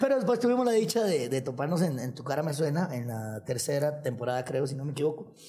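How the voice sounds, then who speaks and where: A man at a very fast pace with hardly any pauses, fairly high pitch, very wide pitch swings, a somewhat breathy, dark, mellow tone, and audible room echo. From Costa Rica, Nicoya. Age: 30s. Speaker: singer and musician. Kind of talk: casual chat.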